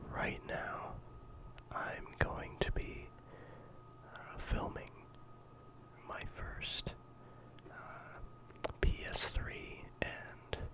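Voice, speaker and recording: Whispering in a relaxed tone at a very slow pace, with long, frequent pauses and noticeable background noise. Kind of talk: ASMR discussion of a video game collection, casual talk to camera. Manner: soft-spoken, relaxed.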